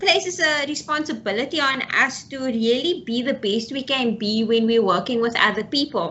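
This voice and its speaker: A woman talks at a moderate pace with a high pitch and ordinary pitch variation. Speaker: psychologist. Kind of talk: lecture. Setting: webinar video call.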